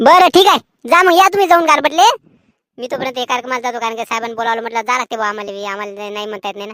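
A female-sounding cartoonish character voice sits at a fairly high pitch. The lines come at a very fast pace. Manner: folksy, colloquial rural Marathi.

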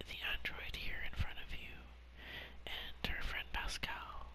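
Whispering in a relaxed tone, a man speaks over noticeable background noise. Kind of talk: whispered gaming commentary. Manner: whispered, soft-spoken, relaxed.

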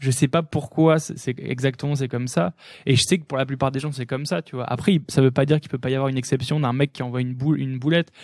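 A man's very fast, medium-pitched speech with fairly even intonation, in a very clean recording with a silent background and a dry, close sound with no echo. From northern France, Lille. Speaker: electronic music producer and DJ. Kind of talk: casual interview chat. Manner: fast, filler-heavy.

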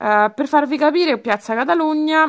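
A woman's animated tone at a moderate pace. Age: 30s. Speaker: beauty vlogger. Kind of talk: casual haul video. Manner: halting.

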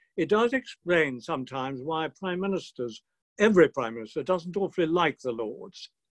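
In a British accent, a man speaks at a moderate pace. His pitch is high, and the background is quiet. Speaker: retired peer. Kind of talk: speech. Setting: video call. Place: home room. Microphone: webcam.

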